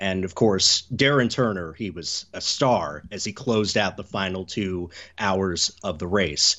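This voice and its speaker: A man with a very deep, low pitch and an American accent talks at a fairly slow pace with ordinary pitch variation. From US Southeast. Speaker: motorsport journalist. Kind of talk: podcast interview.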